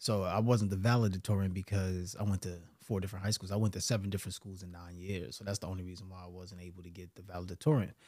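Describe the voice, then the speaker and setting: A man with a Brooklyn accent talks very fast in a very deep, low, dark and mellow voice, with hardly any pauses. His intonation is fairly even, but his loudness swings widely. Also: very clean recording, silent background. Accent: New York (Brooklyn). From New York City, Brooklyn. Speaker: mindset coach and entrepreneur. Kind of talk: casual interview.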